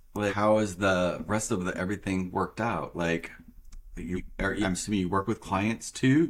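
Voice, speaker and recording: The speaker is a man with an American accent. His voice is fairly low and his pace moderate. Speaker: podcast host. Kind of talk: casual interview chat. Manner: animated, enthusiastic.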